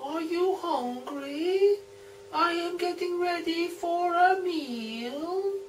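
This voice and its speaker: A man's put-on character voice at extremely high pitch and a very slow pace, with clear background noise. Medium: read story.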